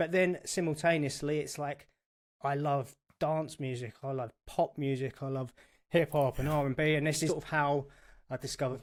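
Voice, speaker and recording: A man with a London accent in a very clean recording with a silent background. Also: fairly high pitch for a man, fairly even intonation, moderate pace. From England, North London. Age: 40s. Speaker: guitarist and accountant, podcast guest. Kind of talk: casual chat.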